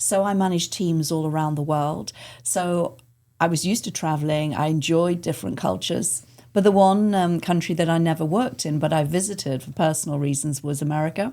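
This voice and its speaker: A woman with an English accent speaks fairly quickly at a very deep, low pitch, her tone dark and mellow with ordinary pitch variation. The recording is very clean and the background silent. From England. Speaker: arts center executive director. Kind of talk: podcast interview. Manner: hesitant, many fillers.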